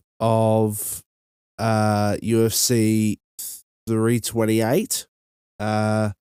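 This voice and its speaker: At a very slow pace, a man with an Australian accent speaks in a dark, mellow, medium-pitched tone, the sound dry and close with no echo. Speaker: podcast host. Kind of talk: casual podcast talk. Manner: hesitant, many fillers.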